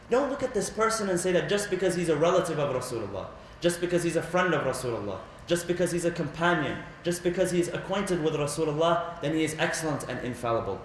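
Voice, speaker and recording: Amid noticeable background noise and audible room echo, a man with a high pitch speaks at a very fast pace with ordinary pitch variation. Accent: Arabic. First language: Arabic. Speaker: religious lecturer. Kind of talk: religious lecture. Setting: Islamic center.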